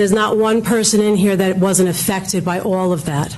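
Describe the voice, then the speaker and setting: Noticeable background noise and audible room echo surround the speaker. She is a woman with a Brooklyn accent and ordinary pitch variation. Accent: Brooklyn, New York. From New York, Brooklyn. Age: old. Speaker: public commenter, medical professional. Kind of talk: public comment speech. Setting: council meeting hall. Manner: animated.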